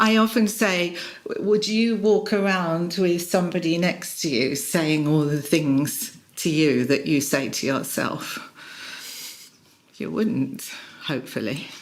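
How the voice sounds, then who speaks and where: A woman's fairly low voice with lively intonation at a fairly slow pace, with audible room echo and noticeable background noise. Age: 60s. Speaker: executive coach. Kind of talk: interview. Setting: in person.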